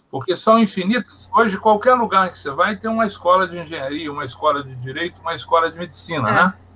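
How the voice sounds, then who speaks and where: Amid noticeable background noise, a man rattles along at a very fast pace in a high pitch, his intonation lively and his loudness swinging widely. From Minas Gerais, Brazil (Barbacena). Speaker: hydropower engineer. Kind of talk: interview.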